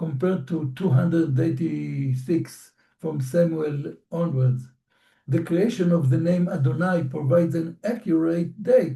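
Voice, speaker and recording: In an Israeli accent, a man speaks at a fairly slow pace with a fairly high pitch, a dark, mellow tone and ordinary pitch variation. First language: Hebrew. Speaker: professor. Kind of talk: lecture. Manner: formal.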